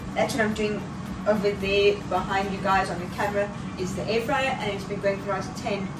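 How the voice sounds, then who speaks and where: Noticeable background noise behind a woman's voice. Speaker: vlogger. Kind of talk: casual vlog chat. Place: kitchen. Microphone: camera far.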